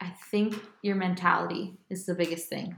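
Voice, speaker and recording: A woman speaks in an American accent at a medium pitch, somewhat breathy. Her intonation stays monotone and flat. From Miami, Florida. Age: 20s. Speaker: singer-songwriter. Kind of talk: casual chat. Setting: living room at home.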